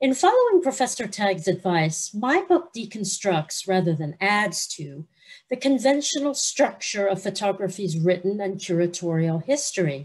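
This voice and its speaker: A woman's somewhat breathy voice with very wide pitch swings. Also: moderate pace. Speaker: guest lecturer. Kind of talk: lecture. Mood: warm, friendly opening. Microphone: video call.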